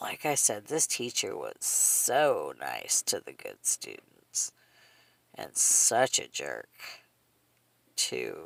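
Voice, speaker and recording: A woman performs a raspy, put-on character voice. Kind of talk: casual vlog storytelling. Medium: solo performance. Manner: rambling, conversational, frequent laughs.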